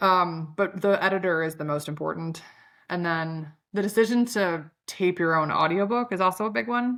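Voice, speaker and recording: A woman's medium-pitched voice with a Chicago accent, ordinary pitch variation and a moderate pace, on a very clean recording with a silent background. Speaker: company founder and CEO, author. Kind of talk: podcast interview. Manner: casual, filler-heavy.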